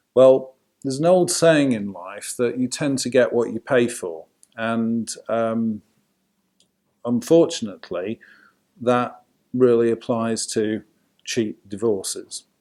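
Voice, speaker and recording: A man's dark, mellow voice with a Yorkshire accent, big swings in loudness and long, frequent pauses. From Yorkshire, England. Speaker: family law solicitor. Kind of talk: casual talk to camera.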